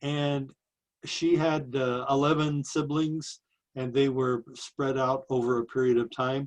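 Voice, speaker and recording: The speaker, in an American accent, uses a monotone, flat intonation at a fairly slow pace. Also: man, medium pitch for a man. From western Nebraska. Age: 70s. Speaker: life story interviewee. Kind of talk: oral history interview. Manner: halting, many fillers.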